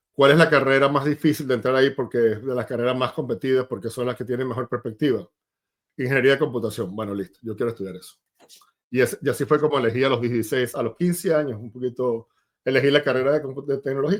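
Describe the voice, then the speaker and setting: Very fast speech with ordinary pitch variation. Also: man, medium pitch for a man. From Venezuela, Maracay. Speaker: tech sales executive. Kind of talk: interview.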